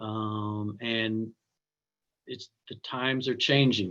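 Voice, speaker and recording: A man's medium-pitched voice with an American accent, a plain, everyday voice, and fairly even intonation. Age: 60s. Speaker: minister and scholar. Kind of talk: panel conversation.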